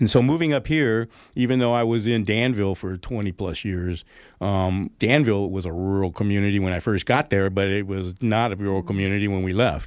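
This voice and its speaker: A man with an American accent talks at a fairly quick pace in a fairly low pitch with ordinary variation. It is a plain, everyday voice, in a very clean recording with a silent background. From Northern California, Oakland area. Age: 60s. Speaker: brewery owner and entrepreneur. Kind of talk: radio interview. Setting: radio studio.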